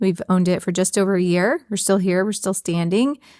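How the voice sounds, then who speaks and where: In a very clean recording with a silent background, a woman speaks at a medium pitch and a fairly quick pace. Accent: American. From Texas. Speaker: veterinarian and podcast host. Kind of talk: casual chat. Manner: animated.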